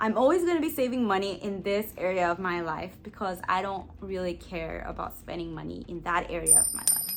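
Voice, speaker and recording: Over music in the background and audible room echo, a woman talks at a fairly quick pace with hardly any pauses, her medium pitch showing ordinary variation. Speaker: lifestyle and personal finance vlogger. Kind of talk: tutorial. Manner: casual.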